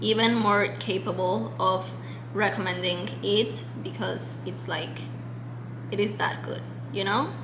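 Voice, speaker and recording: With a Spanish accent, the speaker leaves long, frequent pauses amid audible room echo and noticeable background noise. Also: woman. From Mexico. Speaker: book vlogger. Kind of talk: casual monologue to camera. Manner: chatty, many fillers.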